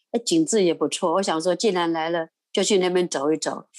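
A woman speaks at a fairly quick pace in an ordinary speaking voice, medium in pitch with ordinary pitch variation, over a quiet background. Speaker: retired grandmother, volunteer. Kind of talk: interview storytelling. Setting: recording from home.

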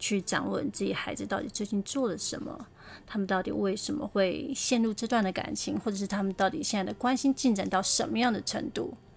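A woman uses a medium pitch with vocal fry and ordinary pitch variation. She talks at a fairly quick pace. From Taiwan, Taipei (Beitou). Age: 40s. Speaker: podcast host, advice giver. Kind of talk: casual advice monologue.

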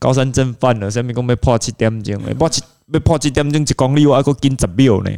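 A man speaks at a very fast pace, his medium pitch showing ordinary variation. His tone is dark and mellow. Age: middle-aged. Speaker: triathlon coach. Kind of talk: casual chat.

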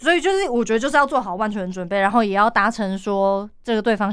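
The delivery runs at a very fast pace with ordinary pitch variation. The recording is very clean, with a silent background. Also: woman. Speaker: event emcee. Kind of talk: interview. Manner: lively, cheerful.

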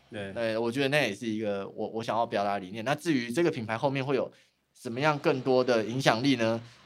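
Ordinary pitch variation runs through a man's very fast speech. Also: medium pitch for a man. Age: 30s. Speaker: graphic designer, design studio founder. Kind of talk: casual interview chat. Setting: at the guest's design studio. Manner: formal at first.

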